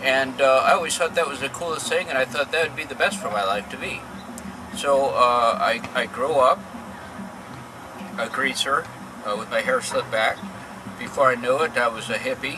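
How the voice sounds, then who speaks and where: With an American accent, a man speaks at fairly high pitch with ordinary pitch variation and long, frequent pauses. Noticeable background noise runs underneath. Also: moderate pace. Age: 50s. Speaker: interviewee telling his life story. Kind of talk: testimony. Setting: outdoors in a park. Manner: halting, many fillers and repeats.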